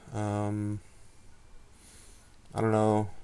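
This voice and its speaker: A soft-spoken, mumbling man with a dark, mellow tone. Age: 20s. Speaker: blogger and amateur writer. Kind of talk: casual vlog monologue. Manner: laid-back, mumbled enunciation.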